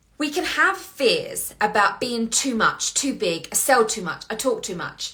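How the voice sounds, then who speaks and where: A woman speaks in a raised, projected voice at a high pitch, with very wide pitch swings and an animated tone. She goes at a fairly slow pace over noticeable background noise. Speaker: business coach. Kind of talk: motivational monologue. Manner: loud.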